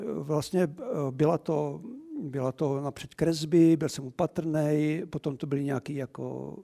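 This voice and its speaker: A man's fairly high, dark, mellow voice at a very slow pace, in a dry, close sound with no echo. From Czech Republic, Moravia (Moravský Beroun near Olomouc). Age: 60s. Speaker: art collector. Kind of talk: lecture. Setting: cinema venue with live audience.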